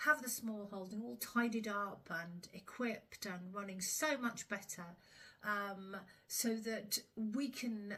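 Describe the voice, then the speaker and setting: A woman speaks at a very slow pace with a medium pitch. Her pitch varies in an ordinary way. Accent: southern English. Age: 60s. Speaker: smallholder. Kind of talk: casual vlog talk. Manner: hesitant, many fillers.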